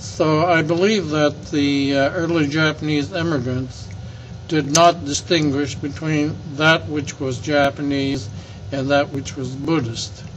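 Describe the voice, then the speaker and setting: There is noticeable background noise as a man speaks with an American accent. His pitch is fairly high and his pace fairly slow. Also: ordinary pitch variation. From California, Alameda. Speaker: elder recounting local history. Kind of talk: oral history interview. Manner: halting, with frequent fillers.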